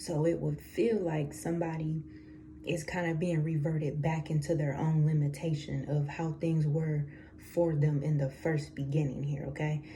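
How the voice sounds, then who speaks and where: In a room with audible echo, a woman with a very deep, low pitch and a dark, mellow tone speaks in a somewhat breathy voice at a moderate pace, her intonation monotone and flat. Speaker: tarot reader. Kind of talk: tarot reading. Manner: casual, conversational with fillers.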